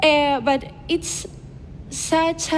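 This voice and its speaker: There is noticeable background noise and audible room echo as a woman speaks with a Spanish accent. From Basque Country, Spain (Vitoria). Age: 20s. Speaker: influencer and speaker. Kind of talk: conference talk. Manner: halting, many fillers.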